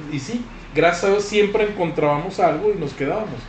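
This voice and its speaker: A man with a northwestern Mexican accent and lively intonation at a moderate pace, over noticeable background noise. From Sinaloa, Mexico. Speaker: podcast host. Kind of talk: casual chat.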